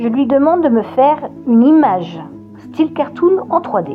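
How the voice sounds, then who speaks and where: Music runs in the background. The woman talks at a fairly slow pace. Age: 50s. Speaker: children's book author. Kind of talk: casual talk to camera.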